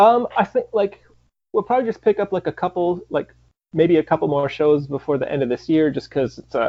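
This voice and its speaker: Speaking in an American accent, a man talks at a fairly quick pace in a high voice with lively intonation. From Michigan. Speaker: punk rock band member. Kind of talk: interview. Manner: halting, many fillers.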